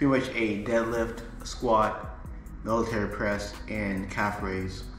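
With audible room echo and light background noise, a man speaks with fairly even intonation. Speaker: fitness coach. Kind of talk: tutorial. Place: home room. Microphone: phone near.

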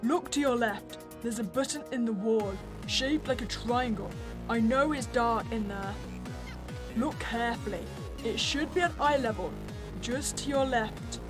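Over loud music in the background, a woman uses a robotic, put-on character voice at a moderate pace. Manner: persuasive, urgent.

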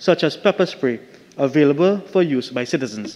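A man with an unremarkable speaking voice at a moderate pace with ordinary pitch variation. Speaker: opposition member of parliament. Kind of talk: formal parliamentary questioning. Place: hall. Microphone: podium.

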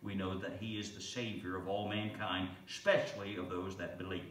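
Over light background noise and audible room echo, the speaker keeps a moderate pace with monotone, flat intonation. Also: man. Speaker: pastor. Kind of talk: sermon. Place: church.

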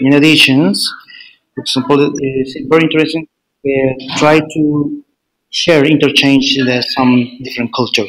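Speaking with a Spanish accent at a moderate pace, a man keeps a fairly high pitch and fairly even intonation. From Chile. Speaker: PhD student. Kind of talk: interview. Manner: halting.

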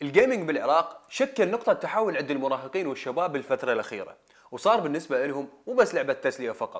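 Against a quiet background, a man speaks very fast with hardly any pauses, his high pitch making very wide swings. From Iraq. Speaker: video presenter; presenter. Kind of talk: scripted narration. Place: studio.

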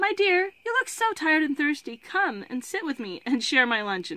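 In a squeaky, put-on character voice, a woman speaks at a moderate pace with a high pitch and very wide pitch swings. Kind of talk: reading aloud from a novel. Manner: kind and coaxing.

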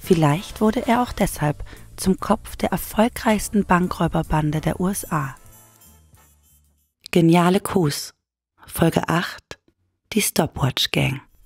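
A woman's fairly low voice at a very slow pace, with long, frequent pauses, music in the background, and a dry, close sound with no echo. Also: lively intonation. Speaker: narrator. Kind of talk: true crime story narration.

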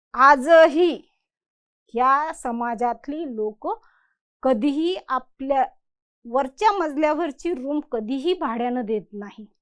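A woman talks with lively intonation and a high pitch. Her loudness swings widely. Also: quiet background. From Khandesh, Dhule district, Maharashtra. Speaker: social worker, NGO founder. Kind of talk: motivational talk.

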